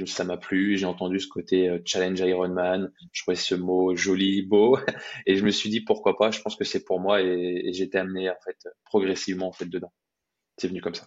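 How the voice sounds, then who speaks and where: In monotone, flat intonation, a man speaks with a very deep, low pitch. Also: moderate pace. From Brittany, France. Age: 20s. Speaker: fitness coach and amateur triathlete. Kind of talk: interview storytelling. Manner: hesitant, many repetitions.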